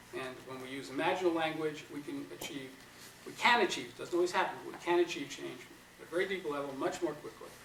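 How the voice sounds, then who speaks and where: A man with a slight New York accent talks at a very fast pace with big swings in loudness, amid noticeable background noise and audible room echo. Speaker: psychotherapy trainer. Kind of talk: lecture.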